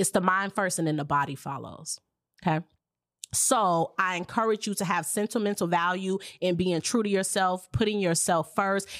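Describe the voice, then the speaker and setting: Speaking in an American accent, a woman of medium pitch has an animated tone on a very clean recording with a silent background. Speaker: podcast host. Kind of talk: casual interview chat.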